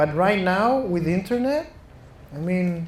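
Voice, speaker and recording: A man with a Chilean Spanish accent speaks at a fairly slow pace in a high pitch with lively intonation. Room echo is audible, and background noise is noticeable. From Chile (Santiago). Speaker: venture capital investor. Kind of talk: fireside chat interview. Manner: halting, with false starts.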